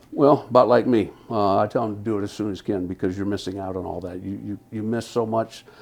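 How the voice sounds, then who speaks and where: A man talks very fast with ordinary pitch variation, noticeable noise sounding behind him. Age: 60s. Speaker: hearing aid client giving a testimonial. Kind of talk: testimonial interview. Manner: halting.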